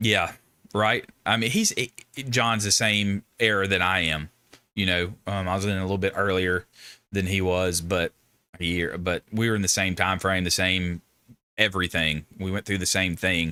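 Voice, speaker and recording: A man with a Southern US accent speaks at a moderate pace, his very deep, low pitch carrying a bright, sharp tone and monotone, flat intonation. The recording is very clean, with a silent background. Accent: Southern accent with twang. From US South. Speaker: Marine veteran streamer. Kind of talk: live stream discussion. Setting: live stream. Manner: casual.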